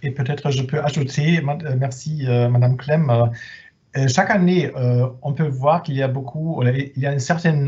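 Against a quiet background, a man with a German accent speaks at a very slow pace, somewhat breathy, with fairly even intonation. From Germany. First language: German (speaking French). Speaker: head of department at exchange service. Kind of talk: webinar presentation. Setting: video conference. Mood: friendly, reassuring.

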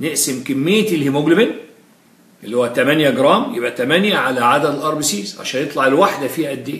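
With audible room echo, a man talks at a fairly quick pace with lively intonation. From Egypt. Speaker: physiology lecturer. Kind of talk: lecture. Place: classroom.

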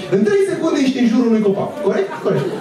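The speaker talks at a very fast pace. Noticeable background noise and audible room echo fill the recording. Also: man. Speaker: stand-up comedian. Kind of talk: stand-up comedy routine. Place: stage.

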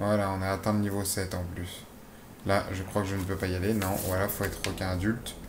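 Audible room echo surrounds a man's fairly low voice. He talks at a fairly quick pace in a monotone, flat delivery. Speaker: gaming youtuber. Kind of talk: gameplay commentary. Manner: hesitant, many fillers.

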